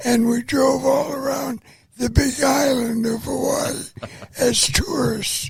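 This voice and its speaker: Over noticeable background noise, a man with an American accent talks at a very slow pace. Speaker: World War II veteran. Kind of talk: interview answer.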